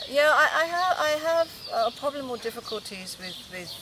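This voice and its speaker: A woman talks fairly quickly, with noticeable noise in the background. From England and Japan. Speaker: documentary interviewee. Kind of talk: interview. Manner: halting.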